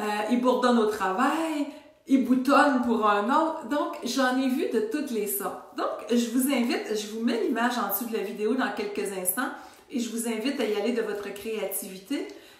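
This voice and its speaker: A woman talks at a moderate pace with a fairly high pitch and ordinary pitch variation. Audible room echo and noticeable background noise surround her. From Quebec. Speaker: wellness coach. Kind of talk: casual video talk to followers. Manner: some stuttering today.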